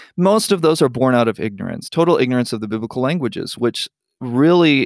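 A man with an American accent, an ordinary speaking voice, medium pitch, lively intonation and a fairly quick pace, in a dry, close sound with no echo on a very clean recording with a silent background. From Oaxaca, Mexico (American missionary family). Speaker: Bible translation consultant. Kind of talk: interview.

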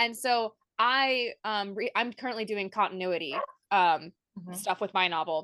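A woman speaks in a bright, sharp tone against a quiet background. The sound is dry and close, with no echo. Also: medium pitch for a woman, ordinary pitch variation, moderate pace. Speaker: podcast co-host. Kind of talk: casual interview chat.

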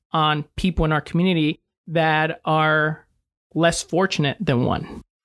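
A man with a normal speaking voice and a fairly high pitch talks at a fairly slow pace, recorded dry and close with no echo. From Mexico, raised in Salem, Oregon. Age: 20s. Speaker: financial strategy business owner. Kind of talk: interview conversation. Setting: studio.

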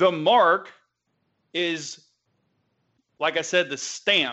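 A high-pitched man with a Southern US accent. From US South. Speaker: religious teacher. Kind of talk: teaching presentation.

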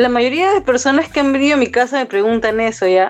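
With music in the background, a woman speaks at a fairly quick pace in a high pitch. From Peru, Ica. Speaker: tattoo artist and musician. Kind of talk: casual chat. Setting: remote call.

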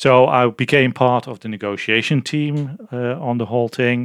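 Recorded very cleanly against a silent background, a man with a Dutch accent speaks with fairly even intonation. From Netherlands. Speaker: physicist and fusion project manager. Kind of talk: interview. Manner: halting with frequent fillers.

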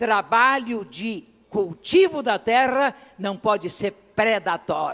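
Very slowly, a man speaks in a high, bright, sharp voice, his intonation lively and his loudness swinging widely. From Brazil, interior of Rio de Janeiro state. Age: old. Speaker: pastor. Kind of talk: sermon. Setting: church.

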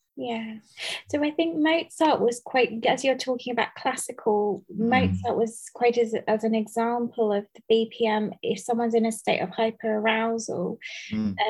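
A woman talks in an ordinary speaking voice at a fairly slow pace. She has a fairly high pitch with ordinary pitch variation. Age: 30s. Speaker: podcast host. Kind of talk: casual interview. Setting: remote call.

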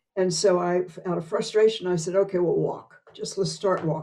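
Fairly low in pitch, a woman talks at a fairly quick pace with vocal fry. Her tone is dark and mellow, and her intonation stays fairly even. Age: 80s. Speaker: improv performer and teacher. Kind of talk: interview conversation.

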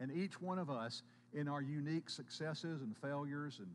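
Moderate-paced speech from a man at a medium pitch, with ordinary pitch variation and audible room echo. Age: 50s. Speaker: pastor. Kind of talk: sermon. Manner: halting.

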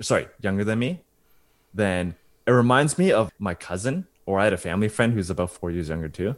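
A man talks at a fairly quick pace in a normal speaking voice, pitched fairly low. The recording is very clean, with a silent background. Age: 20s. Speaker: podcast co-host. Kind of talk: casual chat.

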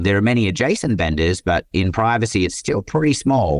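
An Australian accent against a quiet background. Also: man. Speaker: tech company CEO and co-founder. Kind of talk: interview conversation.

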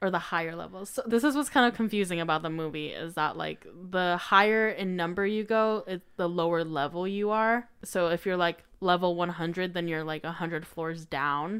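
In an ordinary speaking voice, a woman talks at a moderate pace with a fairly low pitch, ordinary pitch variation and hardly any pauses, recorded very cleanly against a silent background. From Colorado, US. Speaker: podcaster. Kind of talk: casual chat.

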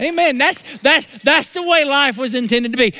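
At a moderate pace, a man with an American accent projects a raised voice at an extremely high pitch. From US South. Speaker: pastor. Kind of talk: sermon. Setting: church. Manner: animated.

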